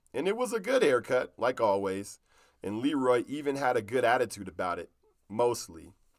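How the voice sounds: The speaker has a natural reading voice. It is the only quality noted here.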